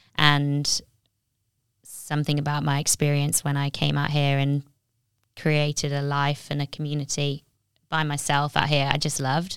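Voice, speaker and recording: Speech at a moderate pace comes in a monotone, flat intonation with long, frequent pauses on a very clean recording with a silent background. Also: woman, very deep, low pitch for a woman. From Nottingham, England. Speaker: graphic designer and business owner. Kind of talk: casual interview chat.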